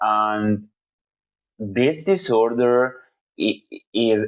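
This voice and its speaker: A man speaks with a non-native accent at a very slow pace, his pitch fairly low. The background is quiet. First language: not English. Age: 30s. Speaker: video blogger. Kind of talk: personal monologue. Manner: halting.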